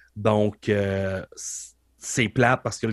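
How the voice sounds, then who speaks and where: Against a very clean, silent background with a dry, close sound and no echo, a man speaks at a very slow pace in a fairly low pitch with monotone, flat intonation. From Quebec, Beauce region. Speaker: professional wrestler and wrestling coach. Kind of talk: casual interview conversation.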